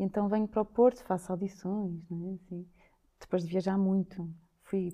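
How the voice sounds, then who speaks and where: The tone is dark and mellow, delivered at a moderate pace. The intonation stays monotone and flat. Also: woman. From Lisbon, Portugal. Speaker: dancer and choreographer. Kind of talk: interview.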